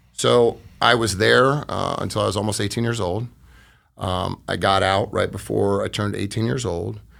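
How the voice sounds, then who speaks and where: With an American accent, a man speaks at a moderate pace with lively intonation, a fairly low pitch and vocal fry. The recording is very clean, with a silent background. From US Midwest (Iowa, Detroit). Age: 40s. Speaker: construction business owner. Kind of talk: interview testimony.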